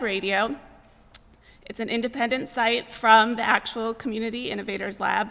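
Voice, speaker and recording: This is a plain, everyday voice with an American accent. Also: woman. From Greater Boston. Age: 30s. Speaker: journalism graduate student. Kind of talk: presentation to an audience. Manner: frequent filler 'um'.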